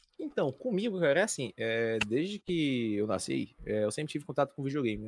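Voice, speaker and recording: Here is a man with a normal speaking voice, medium pitch and lively intonation, talking at a moderate pace. The recording is very clean with a silent background, and the sound is dry and close with no echo. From Fortaleza, Ceará, Brazil. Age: 20s. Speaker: esports tournament commentator. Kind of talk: casual chat.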